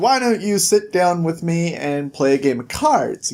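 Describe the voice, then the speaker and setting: A put-on character voice sits at middle pitch and moves at a moderate pace. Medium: read story. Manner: smug, tempting.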